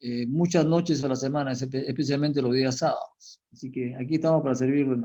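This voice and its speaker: A man talks at a very fast pace with hardly any pauses. His medium-pitched voice has a dark, mellow tone and fairly even intonation. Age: 70s. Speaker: pastor and Bible teacher. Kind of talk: interview testimony. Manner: halting, many fillers.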